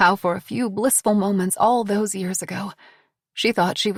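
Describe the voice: The text is read aloud plainly. The background is quiet.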